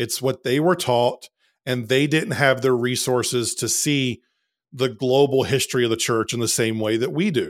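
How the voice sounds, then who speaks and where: The recording is very clean, with a silent background, and a man speaks at a moderate pace. He has a plain, everyday voice at medium pitch with ordinary pitch variation. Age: 30s. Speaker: podcast host. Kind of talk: casual chat.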